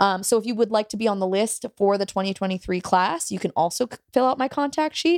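A plain, everyday voice from a woman, medium in pitch, at a fairly quick pace with ordinary pitch variation and a dry, close sound with no echo. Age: 20s. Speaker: comedy writing teacher. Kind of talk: casual chat.

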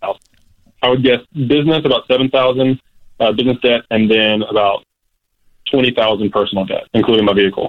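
The voice moves at a fairly quick pace with fairly even intonation, broken by long, frequent pauses. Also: man, medium pitch for a man. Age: 20s. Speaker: caller. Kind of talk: casual chat. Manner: hesitant, many fillers.

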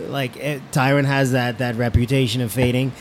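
At a moderate pace and medium pitch, a man talks in an ordinary speaking voice. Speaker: MMA fighter and commentator. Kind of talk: casual chat. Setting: studio.

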